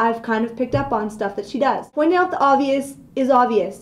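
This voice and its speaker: Her pitch is high and her pace fairly quick. The woman's tone is animated and dramatic. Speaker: video blogger ranting comedic. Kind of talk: comedic rant, vlog-style casual monologue. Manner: animated, exaggerated, mock-dramatic; sarcastic, playful, self-joking. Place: office. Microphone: webcam.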